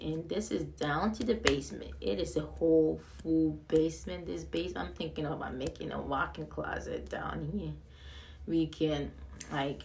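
A woman talks at a moderate pace, with light background noise behind her. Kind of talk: casual vlog chat. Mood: excited. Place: empty room. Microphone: phone near.

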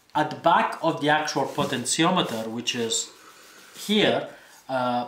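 A man speaks at a fairly slow pace with ordinary pitch variation. Light background noise and audible room echo are present. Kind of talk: tutorial.

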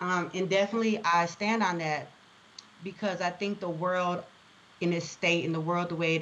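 In an American accent, a woman with a fairly low pitch uses an ordinary speaking voice with fairly even intonation. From Chicago. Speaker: education consultant and CEO. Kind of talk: casual interview.

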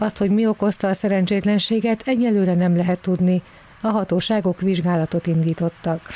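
In a dry, close sound with no echo, a woman with a plain, everyday voice talks fairly quickly at a medium pitch with fairly even intonation. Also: very even loudness. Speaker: news reporter. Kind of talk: news report voiceover.

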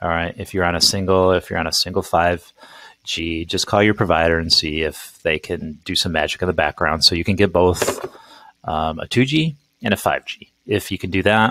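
Man with a very deep, low pitch, ordinary pitch variation, moderate pace, dry sound with no echo, quiet background. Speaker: presenter. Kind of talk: tutorial. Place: home room.

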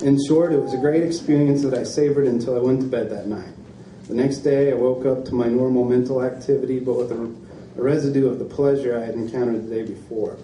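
The speech runs at a very fast pace with fairly even intonation. Light background noise and audible room echo fill the recording. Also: man. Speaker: reader at a book event. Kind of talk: reading aloud from a book. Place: shop. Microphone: podium.

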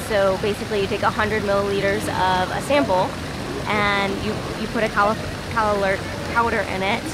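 Amid loud background noise, a woman's voice has a dry sound with no echo. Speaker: travel vlogger. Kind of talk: casual vlog chat. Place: street. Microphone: phone near.

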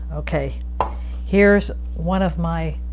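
A woman speaks at a very deep, low pitch. Her pace is very slow, with light background noise behind her. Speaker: gardener. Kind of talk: tutorial. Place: kitchen. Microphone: lapel.

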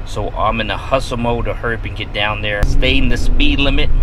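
In a dry sound with no echo, a man speaks fairly quickly while noticeable background noise carries on. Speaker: fishing vlogger. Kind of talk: casual vlog chat. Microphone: phone near.

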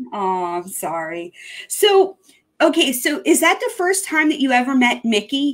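Against a quiet background, a woman speaks in a high, animated voice with very wide pitch swings. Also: fairly slow pace. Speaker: online show host. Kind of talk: casual chat. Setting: video call. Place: home room.

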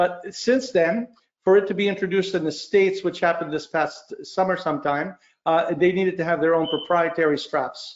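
A man talks at a moderate pace with fairly high pitch. His pitch variation is ordinary, and he pauses little.

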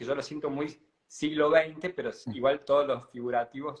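Against a quiet background, a man with an unremarkable speaking voice talks at a moderate pace, his fairly high pitch held in fairly even intonation. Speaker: painter and interviewer; interviewer. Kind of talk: casual interview. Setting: live stream. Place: home room. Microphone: video call.

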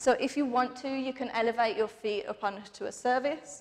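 A woman speaks at a moderate pace. Her voice sits high in pitch. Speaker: fitness instructor. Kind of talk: guided workout class. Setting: home workout video. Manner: animated, rhythmic counting; encouraging, breathless. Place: empty room.

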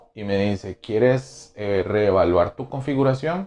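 A man speaks with lively intonation at a moderate pace. His tone is dark and mellow. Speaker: vlogger. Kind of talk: casual vlog chat. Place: home room. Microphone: lapel.

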